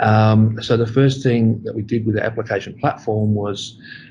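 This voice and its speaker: At a moderate pace, a man with an Australian accent speaks in a dark, mellow tone that is somewhat breathy, his intonation monotone and flat. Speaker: school applications manager. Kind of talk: interview.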